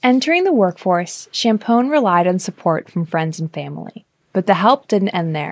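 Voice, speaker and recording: Dry and close with no echo, the recording has a woman with a medium pitch and an ordinary speaking voice talking at a moderate pace with lively intonation. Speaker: podcast narrator / producer. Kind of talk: scripted narration.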